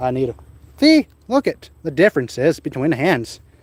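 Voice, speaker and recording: A man with a Wisconsin accent at a fairly slow pace, very wide pitch swings, and a dry, close sound with no echo. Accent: unique Wisconsin. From central Wisconsin. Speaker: car hobbyist streamer. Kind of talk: casual live stream chat.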